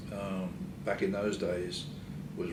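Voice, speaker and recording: A man speaks at a very deep, low pitch with fairly even intonation. Audible room echo surrounds his voice. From England. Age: 70s. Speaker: retired engineering society past president. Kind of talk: interview. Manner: halting, many fillers.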